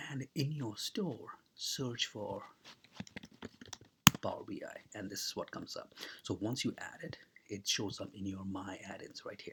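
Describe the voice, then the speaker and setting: Long, frequent pauses in a man's fairly slow delivery. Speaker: tech tutorial creator. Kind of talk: tutorial. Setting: at someone else's house. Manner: soft-spoken; casual.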